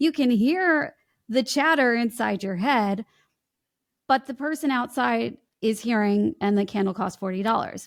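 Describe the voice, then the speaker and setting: A woman speaks with an American accent at a fairly slow pace. The recording is very clean, with a silent background. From US Midwest, Chicago. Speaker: voice coach. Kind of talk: podcast interview.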